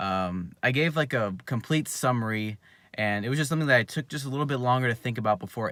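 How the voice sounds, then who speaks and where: Quiet and very fast, a man speaks with lively intonation on a very clean recording with a silent background. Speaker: youtuber, jumping and dunking coach. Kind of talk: casual live stream monologue. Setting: in a car. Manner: halting, many fillers.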